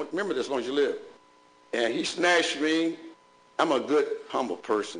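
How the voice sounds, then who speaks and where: Audible room echo surrounds a man's fairly high-pitched voice. His tone is animated. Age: 70s. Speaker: bishop. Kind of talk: public meeting address. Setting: school board meeting. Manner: animated, preacherly.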